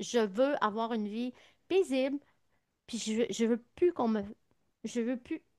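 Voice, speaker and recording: The speech comes at a very slow pace with ordinary pitch variation, the sound dry and close with no echo over a quiet background. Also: woman. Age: 60s. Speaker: naturopath. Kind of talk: interview.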